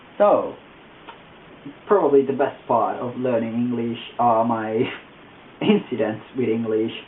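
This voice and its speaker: The speech moves at a moderate pace with fairly even intonation, and background noise is noticeable. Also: man. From Italy. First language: Italian. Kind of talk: casual talk to camera.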